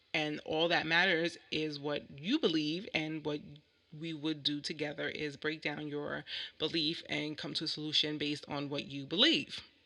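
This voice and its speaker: With a bright, sharp tone, a woman speaks at a very deep, low pitch. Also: moderate pace. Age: 30s. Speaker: vlogger and ordained minister. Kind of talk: reading a prepared monologue. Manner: halting.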